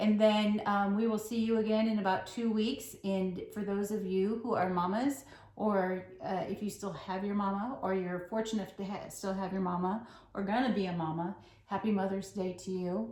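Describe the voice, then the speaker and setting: There is noticeable background noise and audible room echo as a woman speaks at a medium pitch with fairly even intonation. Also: moderate pace. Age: old. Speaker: flosstube co-host, cross stitcher. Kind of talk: casual chat.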